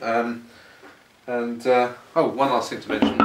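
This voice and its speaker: Noticeable background noise sits under the recording. Over it, a man talks at a moderate speed. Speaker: product reviewer. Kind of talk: casual product review to camera. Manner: hesitant, conversational.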